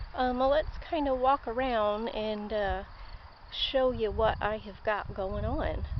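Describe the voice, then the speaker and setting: There is audible room echo as a woman speaks at a very slow pace and a fairly high pitch. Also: ordinary pitch variation. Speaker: home gardener vlogger. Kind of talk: casual garden walkthrough vlog. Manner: hesitant, many fillers.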